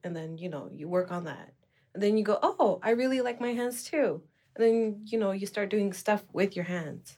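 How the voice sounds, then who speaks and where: A woman speaks at a moderate pace with a medium pitch and ordinary pitch variation. Her tone is dark and mellow, and the recording is very clean with a silent background. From Nunavik, Canada. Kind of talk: casual chat.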